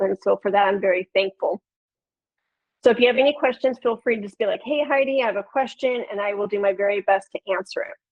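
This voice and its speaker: The speaker has a Chicago accent. Pitch variation is ordinary. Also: woman. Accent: Chicago accent, nasal vowels. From Chicago, Illinois. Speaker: podcast producer and flutist. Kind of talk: webinar presentation.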